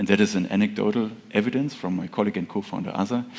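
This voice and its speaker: A man with a German accent speaks at a very fast pace. His pitch is fairly low and his intonation fairly even. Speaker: tech startup founder. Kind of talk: conference presentation.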